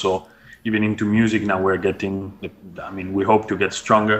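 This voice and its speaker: A man speaks in a fairly low, monotone voice with flat intonation. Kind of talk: interview answer. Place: office. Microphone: earbuds.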